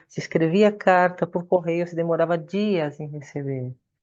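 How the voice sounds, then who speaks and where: Against a quiet background, a woman with an unremarkable speaking voice talks fairly slowly at a fairly low pitch with ordinary pitch variation. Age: 60s. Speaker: Buddhist nun and meditation teacher. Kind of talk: lecture.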